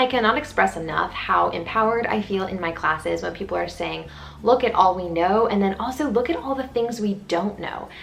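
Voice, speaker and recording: Over noticeable background noise, a woman speaks in an animated tone. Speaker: student vlogger. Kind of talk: casual vlog talk to camera. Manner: fast.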